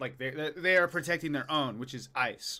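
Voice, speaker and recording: A man speaks at a moderate pace in a bright, sharp tone with ordinary pitch variation. The recording is very clean, with a silent background. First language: not English, forgotten. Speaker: streamer commenting on news. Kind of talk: live stream commentary.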